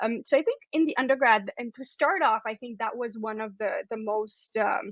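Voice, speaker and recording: A woman with a fairly high pitch and a non-native accent. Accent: non-Canadian accent from home country. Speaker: astrophysicist. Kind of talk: interview.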